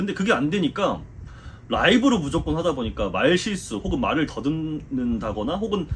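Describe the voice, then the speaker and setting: The speech runs at a moderate pace with noticeable background noise behind it. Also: man. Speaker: football commentator. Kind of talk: casual Q&A talk.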